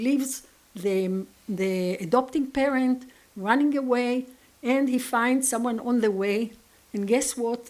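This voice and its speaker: Moderate-paced speech in an Israeli accent with ordinary pitch variation. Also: woman. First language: Hebrew. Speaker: conference lecturer. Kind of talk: lecture.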